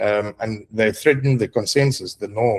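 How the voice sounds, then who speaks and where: With a South African accent, a man speaks at a fairly slow pace, medium in pitch, with fairly even intonation. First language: Afrikaans. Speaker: roundtable participant. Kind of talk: group discussion presentation. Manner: halting, many fillers.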